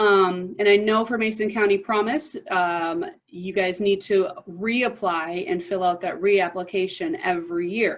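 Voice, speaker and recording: In a normal speaking voice, a woman at a medium pitch talks fairly slowly with hardly any pauses and ordinary pitch variation. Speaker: college advising director. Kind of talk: presentation to students.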